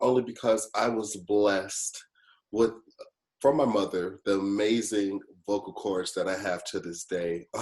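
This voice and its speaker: Speaking at a moderate pace, a man's voice sits at a fairly low pitch. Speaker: youth program fellow. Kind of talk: panel discussion. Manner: animated.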